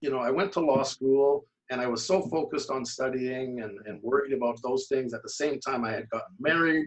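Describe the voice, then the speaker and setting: With a Canadian accent, a man talks in an ordinary speaking voice at a medium pitch and a fairly quick pace, with ordinary pitch variation and hardly any pauses. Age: 60s. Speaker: amateur bodybuilder, lawyer. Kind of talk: casual interview.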